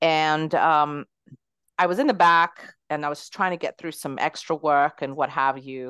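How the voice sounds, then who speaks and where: Fairly slow speech in a dry, close sound with no echo and a quiet background. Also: woman, very deep, low pitch for a woman, fairly even intonation. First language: not English. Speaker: entrepreneur. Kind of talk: interview.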